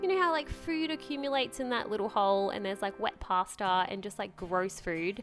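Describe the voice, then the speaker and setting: With an Australian accent, a woman speaks at a fairly quick pace with lively intonation and a medium pitch. Music plays in the background. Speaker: lifestyle vlogger. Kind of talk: casual voice-over for a cleaning vlog. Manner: chatty, casual.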